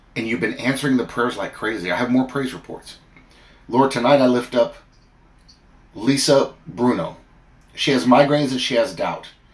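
With an animated tone, a man speaks at a moderate pace and a medium pitch, showing ordinary pitch variation. He leaves long, frequent pauses. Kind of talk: fervent prayer addressed to God. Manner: earnest, pleading, heartfelt; animated, storytelling with comic asides. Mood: earnest, fervent. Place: home room. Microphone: phone near.

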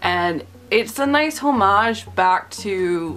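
A woman's voice with light background noise. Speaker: film reviewer. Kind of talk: casual vlog commentary. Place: home room. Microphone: webcam.

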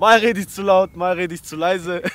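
Speaking slowly, a man uses a high, fairly bright voice with big pitch swings.

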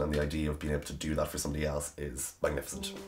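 In an Irish accent, the voice is somewhat breathy and moves at a very fast pace. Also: man. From Ireland, County Cavan. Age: 20s. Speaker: author. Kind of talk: interview answer. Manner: casual, chatty. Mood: warm, self-deprecating, animated. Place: home room.

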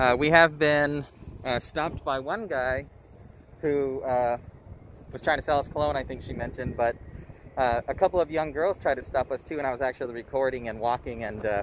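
A man talks at a fairly quick pace with ordinary pitch variation. The sound is dry with no echo, and light noise sits in the background. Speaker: travel vlogger. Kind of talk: casual vlog chat. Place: waterside. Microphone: phone near.

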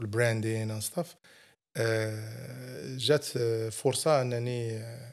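With a quiet background, a man at medium pitch talks at a very slow pace with ordinary pitch variation. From Morocco, Goulmima (Errachidia) and Meknes; Morocco. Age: 50s. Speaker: entrepreneur; podcast guest. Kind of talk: interview. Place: studio. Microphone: studio mic.

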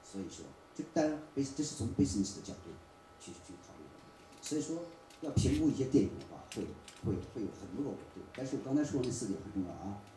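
Talking at a fairly quick pace with lively intonation and big swings in loudness, a man is heard over light background noise and audible room echo. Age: 40s. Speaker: film producer and marketer; presenter. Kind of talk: forum talk. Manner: repeats words when speaking. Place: hall.

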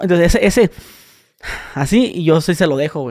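Speaking with a Mexican accent, a man uses a high pitch, lively intonation and a moderate pace. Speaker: podcast host / youtuber. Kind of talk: casual chat.

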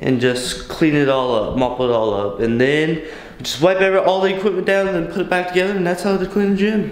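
A high-pitched man at a very fast pace, with audible room echo. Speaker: fitness vlogger. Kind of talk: casual vlog chat. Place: garage. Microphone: phone near.

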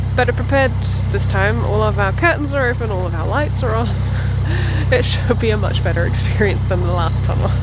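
A woman's speech comes at a moderate pace through loud background noise. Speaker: boating vlogger. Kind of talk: casual vlog chat. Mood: rueful, amused. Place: boat. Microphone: phone near.

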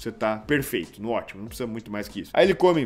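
A man's tone comes across as animated, and his intonation is lively throughout. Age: 30s. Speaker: fitness YouTuber. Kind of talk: casual reaction video. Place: home room. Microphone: studio mic.

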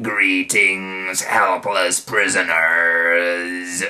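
In a put-on character voice, a man speaks very deep and low, his intonation monotone and flat. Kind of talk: dramatic reading of a children's book. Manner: menacing.

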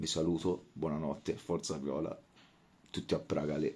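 A quiet man's voice, very deep and low-pitched, at a moderate pace. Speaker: football fan vlogger. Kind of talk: post-match fan reaction. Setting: at home late at night. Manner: speaking quietly; halting, repetitive. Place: home room. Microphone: phone near.

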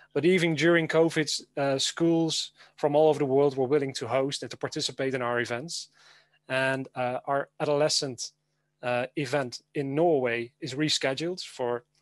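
This man has a Dutch accent and a fairly high pitch, speaking at a moderate pace. His intonation is fairly even, and the sound is dry with no echo. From Netherlands. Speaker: educator. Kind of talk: conference presentation. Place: home room. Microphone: webcam.

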